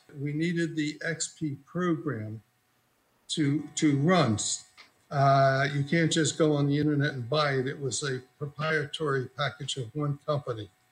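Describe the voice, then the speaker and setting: Somewhat breathy, a man speaks at a fairly high pitch with fairly even intonation. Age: 80s+. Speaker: computer technician, plaintiff. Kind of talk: courtroom testimony.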